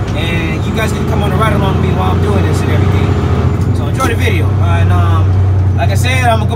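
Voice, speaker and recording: A man speaks at a fairly quick pace amid loud background noise. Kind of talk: casual vlog chat. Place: car. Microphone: phone near.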